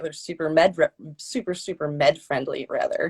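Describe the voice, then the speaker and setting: Someone speaks at a moderate pace with an American accent. The sound is dry and close with no echo. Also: woman. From Michigan. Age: 30s. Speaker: cannabis user and student. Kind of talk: casual panel chat. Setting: live stream.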